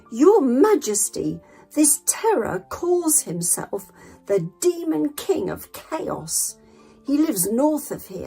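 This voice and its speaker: Over faint music in the background, a woman uses a put-on character voice with a high pitch at a very slow pace. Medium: read story.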